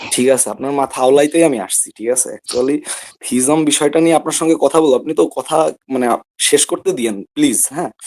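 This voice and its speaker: With ordinary pitch variation, a man talks in a fairly high pitch. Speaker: caller. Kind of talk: call-in debate. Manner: soft-spoken. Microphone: too quiet.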